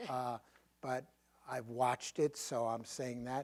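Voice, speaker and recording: A man is speaking. He has a strong Brooklyn accent. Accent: thick Brooklyn. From Brooklyn, New York. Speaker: professor. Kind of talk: Q&A after a lecture.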